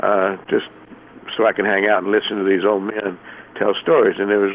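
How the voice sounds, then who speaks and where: A man with an American accent talks in a fairly low pitch. Noticeable background noise runs behind him. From US South. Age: 60s. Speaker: magician. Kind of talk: casual interview.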